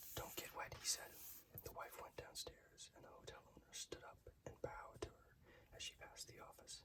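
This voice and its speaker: The speech is whispered. It moves along at a moderate pace. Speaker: ASMR reader. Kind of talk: short story reading.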